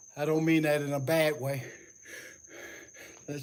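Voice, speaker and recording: With audible room echo, a man speaks in a monotone, flat way at a fairly high pitch. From US South, Atlanta, Georgia. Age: 70s. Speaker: fitness livestreamer. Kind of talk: livestream workout chat. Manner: casual.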